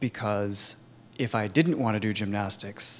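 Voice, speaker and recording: At a fairly slow pace, a man with a Californian accent speaks in a medium pitch with ordinary pitch variation. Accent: Californian American. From US, Sacramento suburbs. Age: 30s. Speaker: Al-Anon speaker. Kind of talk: recovery testimony. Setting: conference talk with audience.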